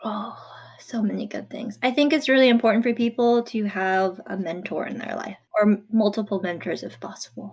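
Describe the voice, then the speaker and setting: A woman speaks at a fairly high pitch and a moderate pace, with ordinary pitch variation and big swings in loudness. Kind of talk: casual chat.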